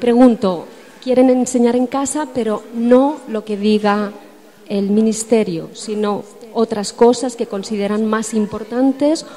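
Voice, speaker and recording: Against noticeable background noise, a woman speaks at a moderate pace with fairly high pitch. Her intonation stays fairly even. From Spain. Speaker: audience member. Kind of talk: audience question. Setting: conference hall with audience.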